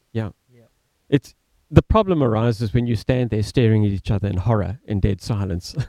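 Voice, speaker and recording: A man with an Australian accent speaks fairly quickly in a dark, mellow tone at a fairly low pitch, with ordinary pitch variation. His loudness swings widely, and the sound is dry and close with no echo. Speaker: community theatre director. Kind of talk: casual chat. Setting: studio. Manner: eloquent.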